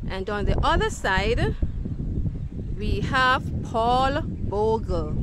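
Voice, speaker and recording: Against noticeable background noise, a woman speaks very slowly. Her sound is dry with no echo, and her pauses are long and frequent. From Jamaica. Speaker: children's educator. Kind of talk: educational video for children. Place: garden. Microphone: phone near.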